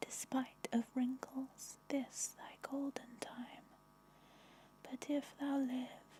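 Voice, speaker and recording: Whispering at a very slow pace, a woman speaks. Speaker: ASMR artist. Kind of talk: poetry reading for sleep. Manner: whispered, soft-spoken.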